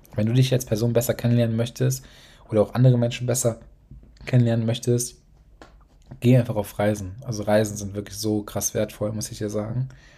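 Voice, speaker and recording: A man with a dark, mellow, somewhat breathy voice speaks at medium pitch in a monotone, flat intonation. His pace is fairly quick, broken by long, frequent pauses. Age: 20s. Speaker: podcast host, young entrepreneur. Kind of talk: solo podcast monologue. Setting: home office at desk.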